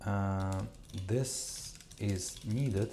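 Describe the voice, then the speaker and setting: Audible room echo surrounds a man's fairly low voice. His intonation stays fairly even. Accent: non-native. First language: not English. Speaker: live coding streamer, media developer. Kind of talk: live coding tutorial stream. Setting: live stream. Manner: halting, many fillers and restarts.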